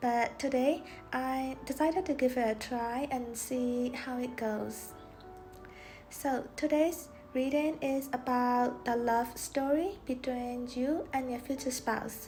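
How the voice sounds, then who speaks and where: Over music in the background, a woman with a non-native accent speaks very slowly in a high pitch, her intonation fairly even. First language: not English. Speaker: tarot reader. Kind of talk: tarot reading talk to camera.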